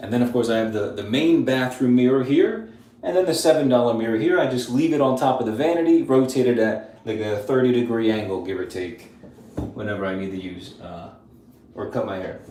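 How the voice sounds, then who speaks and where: Against noticeable background noise and audible room echo, a man with a medium pitch speaks at a fairly quick pace in an animated tone, with ordinary pitch variation and big swings in loudness. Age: 30s. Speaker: grooming youtuber. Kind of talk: live stream tutorial and Q&A. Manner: casual, animated.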